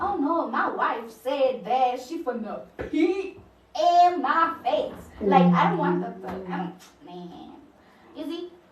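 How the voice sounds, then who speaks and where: With noticeable background noise and audible room echo, a woman speaks very slowly at a high pitch, her voice showing very wide pitch swings, big swings in loudness, and long, frequent pauses. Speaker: social media live streamer. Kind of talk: casual chat.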